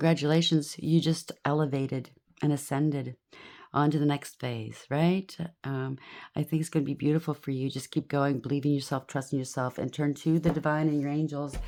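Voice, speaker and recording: On a very clean recording with a silent background, a woman speaks in a very deep, low pitch with a dark, mellow tone and monotone, flat intonation. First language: not English. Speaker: tarot reader. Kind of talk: tarot reading. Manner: halting.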